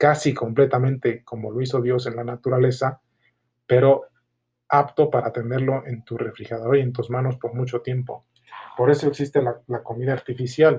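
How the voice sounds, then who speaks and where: A man speaks at a moderate pace in a somewhat breathy, dark, mellow voice of medium pitch, his intonation monotone and flat. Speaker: small business owner. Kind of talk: solo podcast monologue. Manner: halting.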